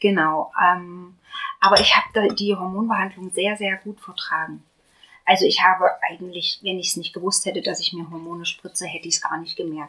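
Her medium-pitched voice at a fairly quick pace keeps a monotone, flat intonation while a woman's loudness swings widely. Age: 30s. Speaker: patient sharing fertility treatment experience. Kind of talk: casual group conversation, personal testimony.

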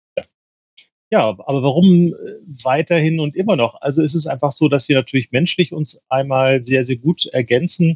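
A man talks at a moderate pace in a fairly high, somewhat breathy voice with ordinary pitch variation. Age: 50s. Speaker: mediator and trainer. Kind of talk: casual chat.

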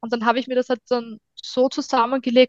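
A woman's normal speaking voice, fairly high in pitch and fairly quick in pace, in a dry, close sound with no echo. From Austria, Styria (Hartberg area). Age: 30s. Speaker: food blogger and mother on parental leave. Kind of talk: casual chat.

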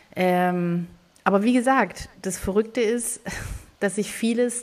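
At a fairly slow pace, an ordinary speaking voice carries ordinary pitch variation. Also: woman. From southern Germany. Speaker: cookbook author and photographer, podcast co-host. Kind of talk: casual chat.

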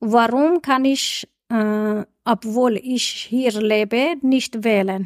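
A woman speaks at a very slow pace and a fairly high pitch with ordinary variation. The sound is dry and close, with no echo. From Iran. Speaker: community podcast host. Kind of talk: interview.

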